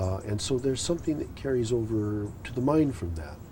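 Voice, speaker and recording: With an American accent, a man speaks at a moderate pace and medium pitch, his intonation lively. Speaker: poet. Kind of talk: interview answer. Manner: hesitant, reflective.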